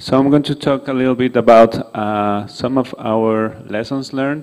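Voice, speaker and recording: A man talks with fairly even intonation at a moderate pace, the background quiet. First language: not English. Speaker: conference speaker on violence prevention; presenter. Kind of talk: conference presentation. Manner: halting, many fillers. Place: hall. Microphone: podium.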